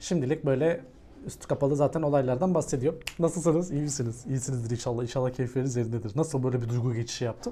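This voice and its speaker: A man's somewhat breathy voice with a dark, mellow tone, medium pitch, ordinary pitch variation and a very fast pace. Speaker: crypto YouTuber. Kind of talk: technical analysis video monologue. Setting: recording away from his room, various places. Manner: casual, joking.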